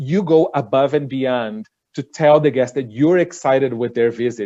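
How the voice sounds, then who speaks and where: A man speaks at a moderate pace in a fairly high pitch, his tone dark and mellow. Behind him the background stays quiet. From Brazil. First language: Portuguese. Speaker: cruise line director. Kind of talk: panel webinar discussion.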